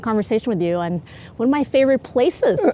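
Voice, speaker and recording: A woman's very fast, fairly high-pitched voice with a dark, mellow tone. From South Asia / Middle East, international upbringing (Sri Lanka high school). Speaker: entrepreneur, physicist. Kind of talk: casual interview. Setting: outdoors, walking around a campus quad.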